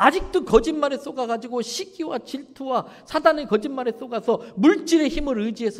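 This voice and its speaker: A man speaks at an extremely high pitch for a man, at a fairly quick pace. His pitch swings very widely. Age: 60s. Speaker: pastor. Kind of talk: sermon. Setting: church. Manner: animated.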